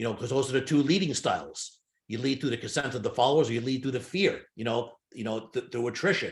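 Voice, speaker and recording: A man talks fairly quickly in a somewhat breathy voice. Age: 60s. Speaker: hypnotist and sales trainer. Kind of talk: interview conversation. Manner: halting.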